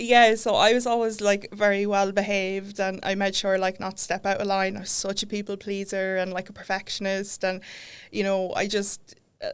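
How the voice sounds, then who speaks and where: In an Irish Midlands accent, a woman speaks at a moderate pace and medium pitch with monotone, flat intonation, on a very clean recording with a silent background. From Ireland. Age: 30s. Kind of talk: podcast interview. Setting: studio.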